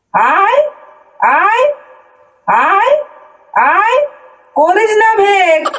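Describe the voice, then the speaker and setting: A woman's squeaky put-on character voice, extremely high in pitch, with very wide pitch swings. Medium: comedy sketch.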